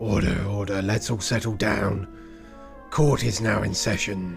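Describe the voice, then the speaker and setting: Over clear music in the background, a man uses a put-on, gravelly character voice. He speaks at a very slow pace and a fairly low pitch. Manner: gruff, declaring.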